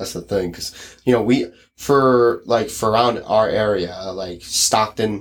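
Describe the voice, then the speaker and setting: A man speaks with an American accent at a fairly low pitch. It is an unremarkable speaking voice. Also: very clean recording, silent background. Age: 20s. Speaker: podcast host. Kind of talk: casual chat.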